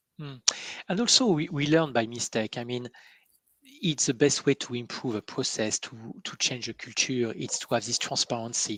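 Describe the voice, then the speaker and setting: A man with a French accent, at a moderate pace, with ordinary pitch variation, big swings in loudness, and a dry, close sound with no echo. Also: medium pitch for a man. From France. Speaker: interviewer on coaching webcast. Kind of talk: interview conversation. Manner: halting, many fillers.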